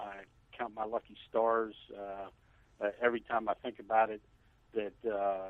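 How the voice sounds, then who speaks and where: This man talks with a fairly low pitch. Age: 60s. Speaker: fire chief. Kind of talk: interview. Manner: halting.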